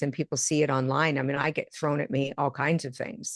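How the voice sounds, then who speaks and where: This woman has an American accent and fairly even intonation. The sound is dry and close with no echo. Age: 60s. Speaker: intuitive medium and author. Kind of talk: interview conversation.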